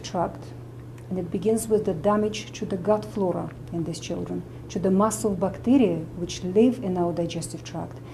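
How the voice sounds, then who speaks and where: Lively intonation from a woman with a Russian accent, medium pitch and a moderate pace, in audible room echo. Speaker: medical doctor and nutritionist. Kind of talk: interview explanation.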